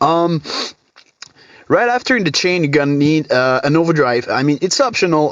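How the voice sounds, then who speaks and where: A man with a French accent, fairly high pitch and ordinary pitch variation. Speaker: guitar tone tutorial youtuber. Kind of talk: tutorial. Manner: hesitant, many fillers.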